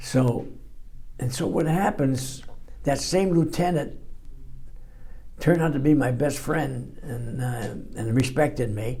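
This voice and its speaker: In a dark, mellow, somewhat breathy tone, a man speaks at a fairly slow pace with long, frequent pauses, his medium pitch showing ordinary variation against audible room echo. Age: 80s+. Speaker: war veteran. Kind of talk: testimony. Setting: library interview. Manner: halting.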